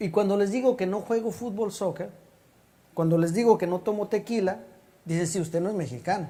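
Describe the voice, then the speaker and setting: A man speaks at a fairly quick pace with a dark, mellow tone. His pitch varies in an ordinary way. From Mexico City. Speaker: pastor. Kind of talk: sermon.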